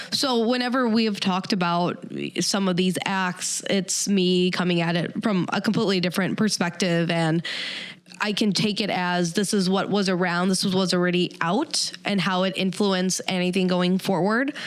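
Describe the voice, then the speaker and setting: A woman's medium-pitched voice with an American accent and fairly even intonation, against noticeable background noise. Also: moderate pace, very even loudness. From Chicago suburbs. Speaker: podcast co-host, radio host. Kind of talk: casual chat.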